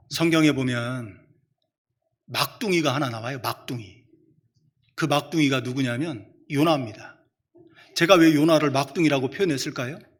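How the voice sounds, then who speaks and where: Long, frequent pauses break up speech that keeps a moderate pace and ordinary pitch variation. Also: man, fairly high pitch for a man. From Chungcheong, South Korea. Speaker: preacher. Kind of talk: sermon.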